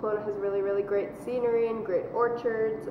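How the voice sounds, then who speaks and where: In a Canadian accent, a woman speaks at medium pitch amid noticeable background noise and audible room echo. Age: 20s. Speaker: university student. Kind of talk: casual interview.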